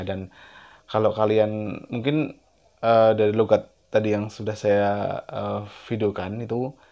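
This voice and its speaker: Monotone, flat intonation in a man's fairly low voice. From Central Java, Indonesia. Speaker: YouTuber. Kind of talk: casual vlog talk to camera. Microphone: lapel.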